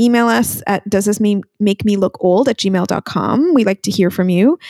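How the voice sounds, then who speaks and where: Here is a woman with a normal speaking voice at medium pitch. She talks at a fairly slow pace with ordinary pitch variation. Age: 40s. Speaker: podcast co-host. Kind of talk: casual chat.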